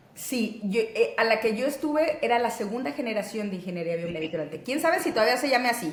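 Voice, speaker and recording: Pitched fairly high, a woman rushes along at a fairly quick pace with hardly any pauses and very wide pitch swings, amid noticeable background noise and audible room echo. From Mexico, Monterrey. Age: 30s. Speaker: physician and interviewee. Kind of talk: interview.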